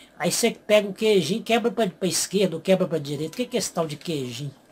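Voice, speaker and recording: A high-pitched male voice with ordinary pitch variation, music playing in the background. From Goiás, Brazil. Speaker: youtuber explaining regional slang. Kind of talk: casual talk to camera.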